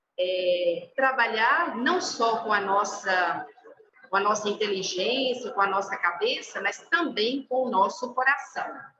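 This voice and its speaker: A woman with a Brazilian accent speaks at a fairly slow pace, her pitch swinging very widely. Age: 50s. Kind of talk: formation talk to a group. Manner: hesitant, many fillers.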